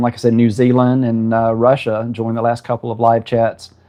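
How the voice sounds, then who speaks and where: At a moderate pace, a man with a Southern US accent talks at medium pitch. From South Carolina. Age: 50s. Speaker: home cook and aspiring farmer. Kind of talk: casual live-stream chat. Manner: halting, many fillers.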